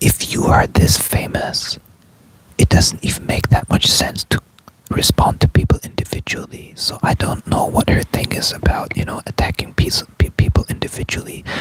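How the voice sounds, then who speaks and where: A man whispers at a moderate pace in a dry, close sound with no echo. Noticeable background noise is present. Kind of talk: casual talk to camera. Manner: whispered.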